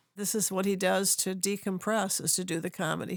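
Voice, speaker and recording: Vocal fry in a woman's medium pitch, moderate in pace. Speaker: podcast host. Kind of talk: casual podcast conversation.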